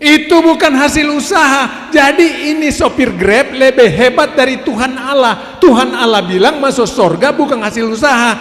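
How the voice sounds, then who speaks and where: Over noticeable background noise, a man speaks at a moderate pace with an extremely high pitch and lively intonation. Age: 70s. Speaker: preacher. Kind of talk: sermon. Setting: family worship gathering.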